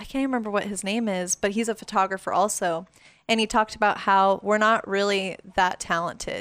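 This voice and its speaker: Speaking at a fairly quick pace with an American accent, a woman with a fairly high pitch keeps a monotone, flat intonation on a very clean recording with a silent background. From Las Vegas, Nevada. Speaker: photographer. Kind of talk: casual interview.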